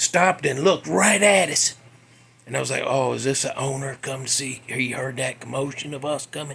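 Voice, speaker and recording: There is noticeable background noise as a man with a Southern US accent speaks. His pace is moderate and his pitch varies in an ordinary way. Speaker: podcast host. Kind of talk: casual storytelling. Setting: home garage. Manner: less animated than usual.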